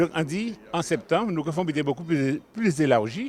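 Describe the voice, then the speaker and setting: An unremarkable speaking voice from a man, lively in intonation at a moderate pace. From Guadeloupe. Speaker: community association member. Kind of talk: interview.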